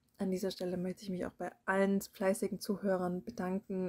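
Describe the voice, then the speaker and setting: A woman's dark, mellow voice at medium pitch and a moderate pace, in a dry, close sound with no echo. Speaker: audiobook narrator. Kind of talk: casual intro to listeners.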